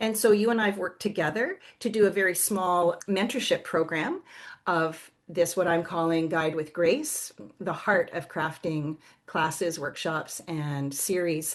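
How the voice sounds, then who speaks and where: A normal speaking voice with a Canadian accent, ordinary pitch variation and a fairly slow pace, over a quiet background. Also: woman, fairly low pitch for a woman. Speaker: somatic movement educator and yoga teacher. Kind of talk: podcast interview.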